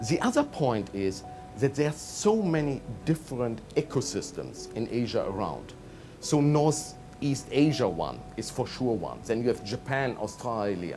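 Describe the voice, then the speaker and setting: A man speaks with a German accent at a fairly slow pace. Music plays in the background. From Germany. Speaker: management consultant. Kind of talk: interview.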